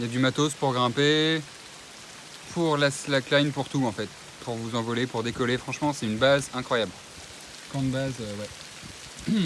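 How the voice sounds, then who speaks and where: A man talks at a medium pitch and a fairly slow pace with fairly even intonation. Long, frequent pauses break up his speech, and the background noise is noticeable. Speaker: climber. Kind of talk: casual chat. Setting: outdoors. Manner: loud.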